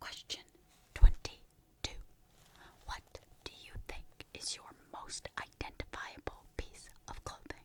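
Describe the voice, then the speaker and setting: Whispering at a very slow pace, the speaker uses a playful tone and leaves long, frequent pauses. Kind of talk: ASMR roleplay whispered questioning for relaxation and sleep. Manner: whispered, playful.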